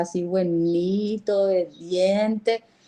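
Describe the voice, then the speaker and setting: A woman speaks in a normal speaking voice. Her pitch is medium, with ordinary variation. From Paraguay, border region. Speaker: university lecturer. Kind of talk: lecture.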